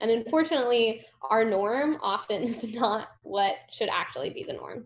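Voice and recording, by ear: Speaking slowly, a woman uses a fairly high pitch and lively intonation.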